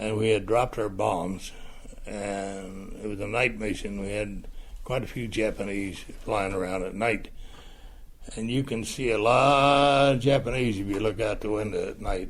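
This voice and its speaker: Speaking at a fairly slow pace with vocal fry, a man with an American accent is heard in a room with audible echo. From Ohio, US Midwest. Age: 80s+. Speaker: war veteran. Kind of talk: personal testimony interview. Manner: halting, with frequent fillers.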